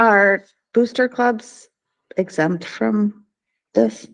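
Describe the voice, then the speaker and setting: Soft-spoken, a woman talks here. Her sound is dry and close, with no echo. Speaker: board of education member. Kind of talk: board meeting discussion.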